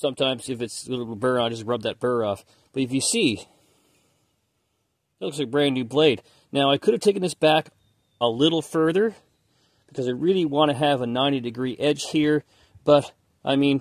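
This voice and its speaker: The background is quiet and the sound is dry with no echo. A man talks at a fairly quick pace with ordinary pitch variation. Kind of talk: tutorial. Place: garage. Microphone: phone near.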